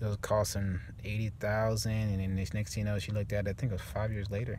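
At a fairly quick pace, a man talks with fairly low pitch and little pitch movement.

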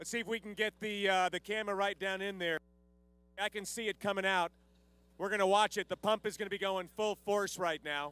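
Quick and high-pitched, a man talks in a bright, sharp tone at a fairly quick pace. His intonation is monotone and flat. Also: dry sound with no echo. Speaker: event emcee. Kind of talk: live event commentary. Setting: live event with audience. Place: street.

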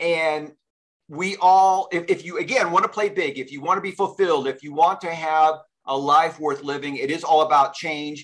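Against a quiet background, a man speaks at a moderate pace with a fairly high pitch. His loudness swings widely. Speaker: interview show host. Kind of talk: casual interview. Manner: excitable. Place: home room.

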